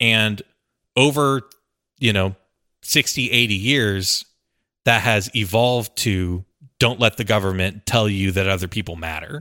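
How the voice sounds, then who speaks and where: Man with an American accent, bright, sharp tone, fairly low pitch, ordinary pitch variation, fairly slow pace with long, frequent pauses, dry, close sound with no echo, very clean recording, silent background. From rural Texas. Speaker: podcast producer. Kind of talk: casual chat.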